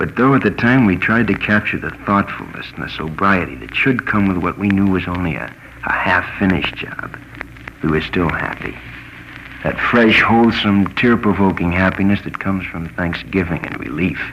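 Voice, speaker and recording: Over noticeable background noise, a man with an American accent and a very deep, low pitch speaks at a moderate pace with lively intonation. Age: 20s. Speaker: radio commentator; war veteran. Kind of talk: radio commentary. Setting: old acetate disc recording.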